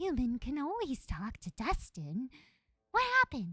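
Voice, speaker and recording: Using a put-on character voice, a female-sounding speaker talks at high pitch and a moderate pace. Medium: video game. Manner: simple broken speech, refers to himself by name.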